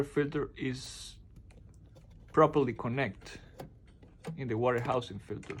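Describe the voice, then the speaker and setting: Speaking with a Spanish accent, a man uses a medium pitch, a somewhat breathy voice and ordinary pitch variation. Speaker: appliance repair technician. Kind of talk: tutorial. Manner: halting.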